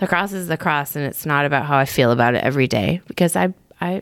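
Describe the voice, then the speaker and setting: Delivered at a very fast pace with very wide pitch swings and vocal fry, the speech comes in an American accent. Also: woman. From Michigan, US Midwest. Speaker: missionary. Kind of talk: casual chat.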